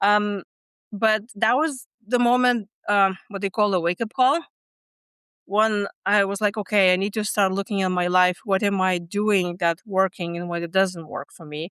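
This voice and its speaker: A woman speaks at a medium pitch and moderate pace with ordinary pitch variation, the sound dry and close with no echo, in a very clean recording over a silent background. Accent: Lithuanian. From Lithuania. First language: Lithuanian. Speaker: stress management coach. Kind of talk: podcast interview. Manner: halting, with many fillers.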